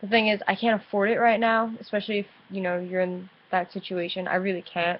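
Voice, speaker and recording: A woman in an American accent, medium in pitch, at a fairly quick pace, with monotone, flat intonation. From New Jersey, US. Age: 20s. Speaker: vlogger with chronic illness. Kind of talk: casual webcam vlog. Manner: halting, hesitant.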